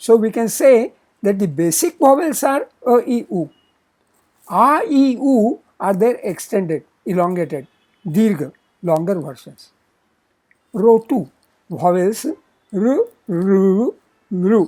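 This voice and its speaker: Spoken with a Marathi accent, the words come at a very slow pace with long, frequent pauses. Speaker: Sanskrit teacher. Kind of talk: lecture.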